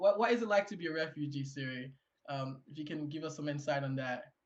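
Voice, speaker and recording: A man with a strong Haitian accent. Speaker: panel moderator. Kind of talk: panel discussion. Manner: halting, many fillers and repeats.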